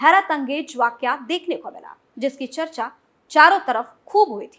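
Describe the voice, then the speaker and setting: This voice has a bright, sharp tone and lively intonation. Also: woman. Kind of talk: TV news report narration.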